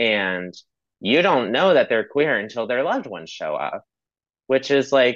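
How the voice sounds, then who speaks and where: A man talks at a fairly slow pace in a medium pitch with vocal fry. His pitch swings very widely. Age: 20s. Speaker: podcast guest, student. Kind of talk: casual chat.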